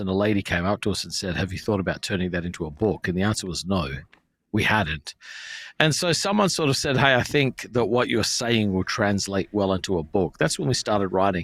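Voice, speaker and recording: A man with an Australian accent speaks at a fairly quick pace and fairly low pitch, with lively intonation. The recording is very clean with a silent background, dry and close with no echo. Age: 40s. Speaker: pastor. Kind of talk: casual chat.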